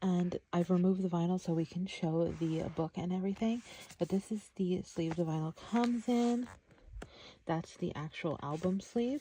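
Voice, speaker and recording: At a moderate pace, a soft-spoken woman with a dark, mellow, somewhat breathy tone speaks at a medium pitch and very even loudness. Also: ordinary pitch variation. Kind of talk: ASMR soft-spoken product showcase, casual talk to camera.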